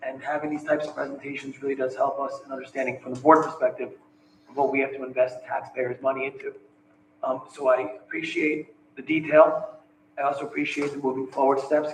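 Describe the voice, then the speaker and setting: A man with a fairly high pitch talks at a fairly quick pace in a flat monotone, his loudness swinging widely against noticeable background noise. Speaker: school board member. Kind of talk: public meeting remarks.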